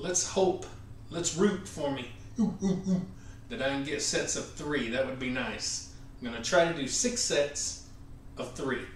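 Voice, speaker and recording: With lively intonation, a man talks at a fairly slow pace with long, frequent pauses, audible room echo and light background noise. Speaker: home gym vlogger. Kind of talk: casual vlog chat. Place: gym.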